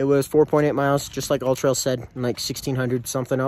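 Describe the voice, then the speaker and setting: A man with a dark, mellow tone is heard in a dry sound with no echo. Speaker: hiker vlogger. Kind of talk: casual vlog chat. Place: open country. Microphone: phone near.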